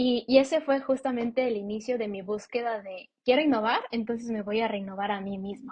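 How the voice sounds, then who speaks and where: A somewhat breathy woman's voice at a moderate pace with fairly even intonation. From Ecuador. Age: 20s. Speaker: podcast co-host. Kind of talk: interview. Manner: casual, lots of fillers.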